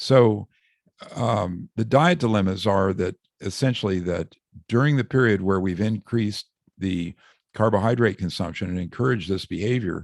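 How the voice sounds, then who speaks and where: A man's fairly low voice, dry and close with no echo on a very clean recording with a silent background, moves at a moderate pace with ordinary pitch variation. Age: 60s. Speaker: author and doctor. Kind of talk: podcast interview. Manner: hesitant with fillers.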